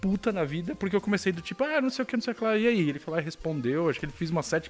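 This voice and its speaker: A man with a high pitch at a very fast pace, lively intonation, and noticeable background noise. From Brazil. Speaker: video game journalist. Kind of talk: casual chat.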